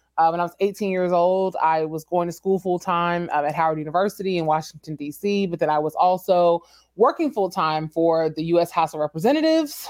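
A woman with an American accent speaks at a fairly quick pace, with hardly any pauses and fairly even intonation. It is a normal speaking voice, set against a quiet background. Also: fairly low pitch for a woman. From Texas. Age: 30s. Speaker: entrepreneur and business consultant. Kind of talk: interview.

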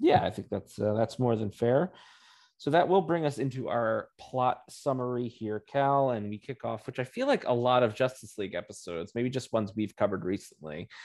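A man with a plain, everyday voice talks at a fairly quick pace and medium pitch with lively intonation against a quiet background. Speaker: podcast host. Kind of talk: casual chat.

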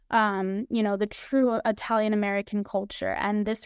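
Using an ordinary speaking voice, a woman talks at a fairly quick pace with fairly high pitch. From New York. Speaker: special education teacher. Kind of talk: casual chat. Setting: video call.

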